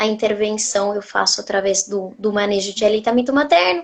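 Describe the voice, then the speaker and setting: With a slight Argentine accent, a woman speaks in a fairly high voice. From Argentina. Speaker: nutritionist. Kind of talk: interview on a live stream.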